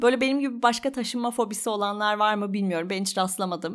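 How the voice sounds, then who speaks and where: A woman's voice, a normal speaking voice, fairly high in pitch with lively intonation. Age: 30s. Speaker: podcaster. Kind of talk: personal monologue.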